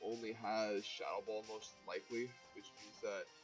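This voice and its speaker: A man talks with music in the background. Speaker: competitive video game player. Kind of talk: gameplay commentary.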